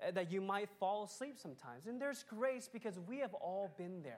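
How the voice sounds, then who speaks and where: At a moderate pace, a woman speaks in an unremarkable speaking voice of medium pitch. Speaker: pastor. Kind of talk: sermon. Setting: church.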